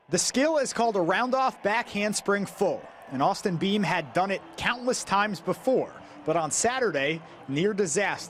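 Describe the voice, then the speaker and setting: A man's high-pitched voice at a moderate pace, with lively intonation and very even loudness. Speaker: sports reporter and anchor. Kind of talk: TV feature package narration.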